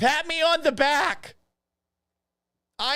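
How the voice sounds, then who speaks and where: In a Boston accent, a man speaks with a bright, sharp tone. His pace is fairly slow, with ordinary pitch variation. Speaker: sports podcast host. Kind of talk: live stream chat. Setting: home office. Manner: animated.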